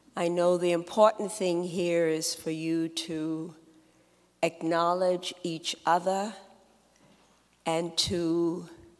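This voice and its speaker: Noticeable background noise accompanies a woman speaking at a very slow pace and a fairly low pitch. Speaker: retired university administrator, keynote speaker. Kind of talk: ceremony speech.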